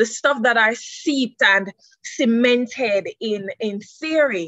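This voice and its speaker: Very slowly and with lively intonation, a woman speaks in a dry sound with no echo against a quiet background. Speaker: presenter. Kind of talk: seminar presentation. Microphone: video call.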